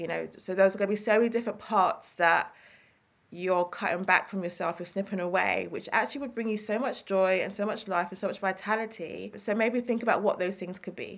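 A woman with an East London accent speaks at a fairly quick pace and medium pitch. Her intonation is fairly even, on a very clean recording with a silent background. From East London, England. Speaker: therapist and author. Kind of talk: interview conversation.

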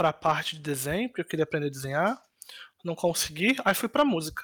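A man speaks in a high voice. The sound is dry and close with no echo, on a very clean recording with a silent background. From Rio de Janeiro, Brazil (Ilha do Governador). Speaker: cybersecurity manager and doctoral student. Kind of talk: interview.

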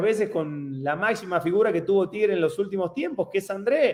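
A man is talking with a high-pitched voice. The intonation moves in a lively way. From Argentina, Casilda near Rosario. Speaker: retired football striker. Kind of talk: interview.

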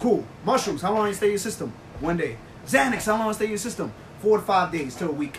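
Speech races along at a very fast pace with lively intonation, over noticeable background noise. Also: man, high pitch for a man. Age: 20s. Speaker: podcast co-host. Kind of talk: casual chat.

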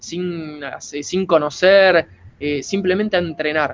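Very slow speech from a man with a high pitch and ordinary pitch variation. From Argentina. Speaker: martial arts practitioner. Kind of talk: casual chat.

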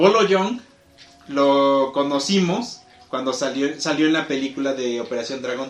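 In a room with audible echo, a man speaks with a Mexican accent at a fairly slow pace. His pitch is fairly high and varies in an ordinary way. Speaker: podcast host. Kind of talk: casual chat. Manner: animated.

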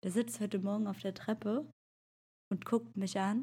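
A woman speaks with a fairly high pitch. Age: 30s. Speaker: podcast co-host, mother. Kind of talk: casual chat. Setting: video call.

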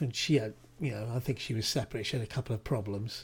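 A man with a British accent talks at a very fast pace in a dark, mellow, somewhat breathy tone with ordinary pitch variation. The recording is very clean and the background silent. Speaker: podcast co-host. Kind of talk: casual chat. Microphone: new mic.

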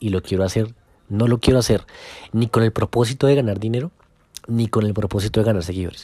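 A man's dark, mellow voice, fairly low in pitch with ordinary pitch variation, at a moderate pace, in a very clean, dry, close recording with no echo and a silent background. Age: 20s. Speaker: football social media account owner. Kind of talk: casual podcast monologue.

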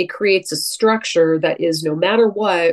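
A woman with an American accent speaks in a plain, everyday voice. Her pitch is medium, with ordinary variation. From US West Coast, San Francisco Bay Area. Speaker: astrologer. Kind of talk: casual interview conversation.

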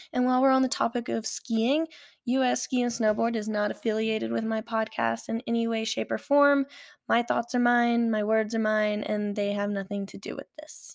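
Speech comes at a moderate pace, dry and close with no echo, on a very clean recording with a silent background. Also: woman, fairly high pitch for a woman. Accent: American. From Alabama. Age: 20s. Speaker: podcast host and aerial skier. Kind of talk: casual monologue. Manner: animated.

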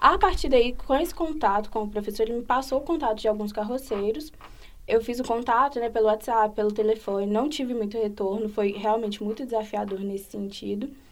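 At a fairly quick pace, a woman with a fairly high pitch and a plain, everyday voice speaks with ordinary pitch variation. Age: 20s. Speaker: psychology student and researcher. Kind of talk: podcast interview.

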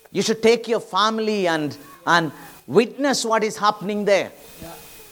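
A man's high-pitched voice amid noticeable background noise. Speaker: pastor. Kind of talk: sermon. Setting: church. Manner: animated, preacherly, urgent; conversational, mixes Malayalam with English phrases.

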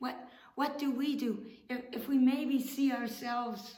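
Pitched high, a woman speaks at a moderate pace amid audible room echo. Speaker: pastor. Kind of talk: sermon.

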